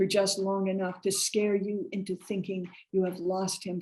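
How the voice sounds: The voice heard here is a natural reading voice.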